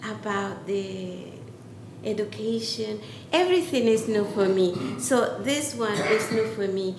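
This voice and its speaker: A woman speaks at a fairly slow pace with lively intonation. There is audible room echo and noticeable background noise. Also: medium pitch for a woman. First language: not English. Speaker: community representative. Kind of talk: town hall statement.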